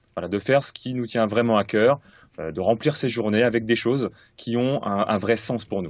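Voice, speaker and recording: A man speaks at medium pitch and a moderate pace with ordinary pitch variation against a quiet background. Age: 30s. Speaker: sales coach. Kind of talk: interview. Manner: hesitant, many fillers.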